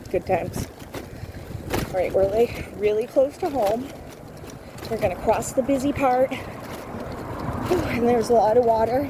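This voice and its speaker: A woman speaks loudly in a high voice with ordinary pitch variation. She leaves long, frequent pauses over noticeable background noise. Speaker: vlogger. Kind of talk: casual chat. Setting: outdoors. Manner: fast.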